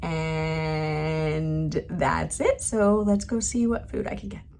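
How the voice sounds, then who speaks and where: A woman speaks over noticeable background noise. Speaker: travel vlogger. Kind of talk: casual vlog talk.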